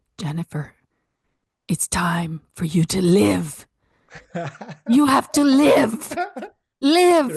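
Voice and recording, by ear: A woman's put-on character voice at a medium pitch, very slow, with very wide pitch swings and long, frequent pauses, in a dry, close sound with no echo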